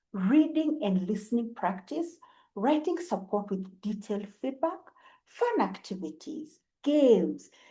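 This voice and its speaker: Speaking with a Kenyan accent, a woman uses a fairly high pitch with very wide swings and a dark, mellow, somewhat breathy tone. She talks at a fairly slow pace. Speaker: English teacher. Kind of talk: self-introduction to camera. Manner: friendly, warm.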